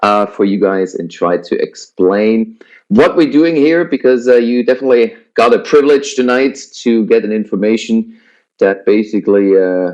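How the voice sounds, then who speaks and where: Speaking with a Swiss German accent, a man keeps a moderate pace. His medium-pitched voice has lively intonation. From Switzerland. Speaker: network marketing presenter. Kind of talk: webinar sales pitch. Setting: online webinar with headset. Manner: hesitant with many fillers.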